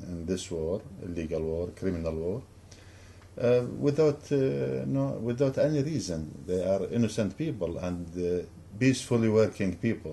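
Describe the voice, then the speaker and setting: A man's dark, mellow, somewhat breathy voice moves at a fairly slow pace with very wide pitch swings. Audible room echo surrounds it. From Iraq. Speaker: professor. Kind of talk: lecture. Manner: halting.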